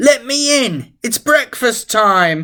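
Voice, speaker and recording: A put-on character voice sounds squeaky at a fairly high pitch. The recording is very clean, with a silent background. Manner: sly, pretending.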